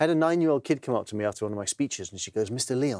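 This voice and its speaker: Recorded with a dry, close sound and no echo, a man with an English accent talks at a medium pitch with lively intonation. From England. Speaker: TV presenter and author. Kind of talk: interview. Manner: halting, repeats words.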